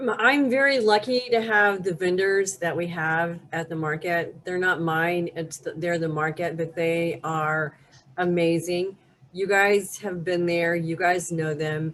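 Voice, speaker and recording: Ordinary pitch variation marks this fairly slow delivery. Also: woman, fairly low pitch for a woman. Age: 60s. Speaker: farmers market director. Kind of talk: community talk presentation. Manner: halting.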